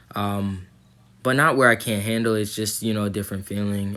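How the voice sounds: Fairly bright in tone, a man's voice sits at a fairly low pitch with little pitch movement.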